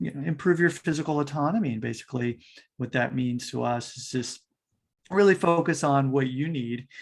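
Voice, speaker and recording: The speaker uses a plain, everyday voice at a moderate pace, with ordinary pitch variation. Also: man. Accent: American. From United States. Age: 40s. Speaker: fitness coach. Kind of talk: podcast interview.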